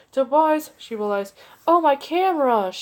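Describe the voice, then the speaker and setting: Raised and projected, a woman's put-on character voice sits high in pitch. Her pitch swings very widely at a moderate pace. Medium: read story.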